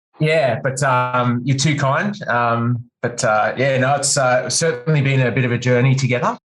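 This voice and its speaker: Man with an Australian accent at medium pitch and a moderate pace, with fairly even intonation, very even loudness and hardly any pauses. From Australia, country New South Wales (Wagga Wagga). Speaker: guitar teacher and music store worker. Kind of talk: casual interview chat.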